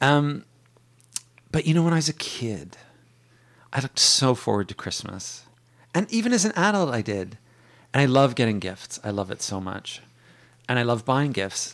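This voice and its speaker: On a very clean recording with a silent background, a man of medium pitch speaks at a moderate pace with long, frequent pauses and very wide pitch swings. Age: 40s. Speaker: bookstore worker and author. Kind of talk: casual chat.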